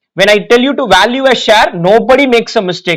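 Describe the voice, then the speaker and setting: A high-pitched man with an Indian accent talks at a fairly quick pace with lively intonation. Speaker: finance exam teacher. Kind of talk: lecture.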